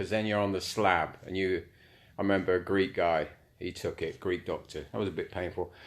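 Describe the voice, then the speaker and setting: In a Cockney accent, a man with a fairly low voice speaks at a moderate pace with big swings in loudness, on a very clean recording with a silent background. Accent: London Cockney. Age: 60s. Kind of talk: casual live-stream monologue. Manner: casual, rambling, sweary.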